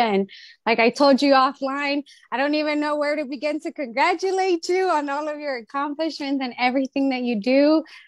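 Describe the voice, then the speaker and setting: The woman speaks at a fairly quick pace. The background is quiet. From El Paso, Texas (Mexican border). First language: Spanish. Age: 30s. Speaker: energy reader and motivational speaker. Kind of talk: interview chat.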